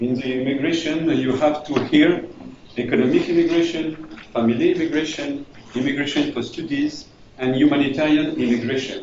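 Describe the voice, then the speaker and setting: Fairly quick and fairly even in intonation, a man with a French accent speaks at a fairly high pitch amid noticeable background noise and audible room echo. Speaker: refugee integration manager. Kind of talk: presentation. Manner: halting.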